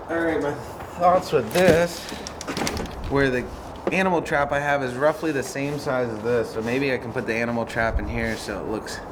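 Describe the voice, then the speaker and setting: Noticeable background noise and audible room echo surround this man's medium-pitched voice. He talks at a moderate pace, with long, frequent pauses. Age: 30s. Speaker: vlogger, cat rescuer. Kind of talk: casual vlog monologue. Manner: casual, conversational.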